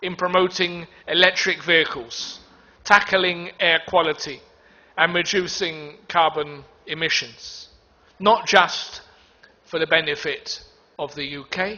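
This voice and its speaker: In a British accent, the speaker talks very slowly with fairly even intonation. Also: man. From United Kingdom. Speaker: diplomat giving a conference speech. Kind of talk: conference speech. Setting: stage in a packed conference hall. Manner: hesitant, with many ums.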